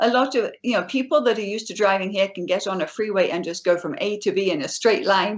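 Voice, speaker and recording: Someone with an English accent talks at a fairly quick pace. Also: woman. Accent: British (English). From England, Suffolk (East Anglia). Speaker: author and trauma counselor. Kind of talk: interview.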